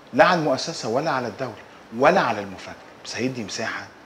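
Noticeable background noise sits behind a man speaking at a fairly quick pace. His pitch varies in an ordinary way. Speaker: interviewee. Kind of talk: interview answer. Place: office. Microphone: lapel.

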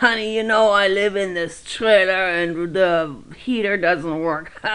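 In a put-on character voice, the speaker sounds raspy at a middle pitch and a fairly slow pace. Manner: easygoing, chatty.

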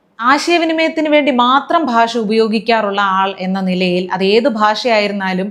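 The woman speaks with a fairly high pitch. There is noticeable background noise behind her. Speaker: political satire commentator. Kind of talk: sarcastic political commentary.

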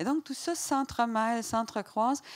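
The speaker is a woman. She talks in a Quebec accent. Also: quiet background. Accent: Québécois French. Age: 50s. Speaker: novelist; guest. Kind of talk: public author talk. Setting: stage with audience. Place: stage. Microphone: handheld.

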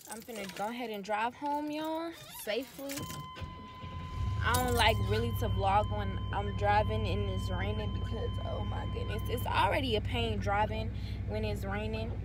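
A woman at a moderate pace, dry with no echo, against loud background noise. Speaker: vlogger. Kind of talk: casual vlog chat. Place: car. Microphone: phone near.

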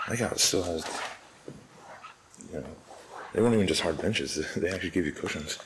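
Over light background noise, a man with a very deep, low pitch talks at a very fast pace with ordinary pitch variation. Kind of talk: casual vlog commentary. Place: church. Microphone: phone near.

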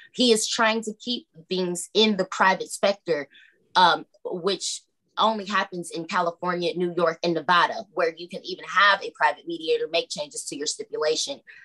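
A woman's bright, sharp voice at a moderate pace, with ordinary pitch variation over a quiet background. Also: medium pitch for a woman, big swings in loudness. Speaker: pro se litigant. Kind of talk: court hearing testimony. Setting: video call. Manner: halting. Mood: defensive, accusatory. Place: home room. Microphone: video call.

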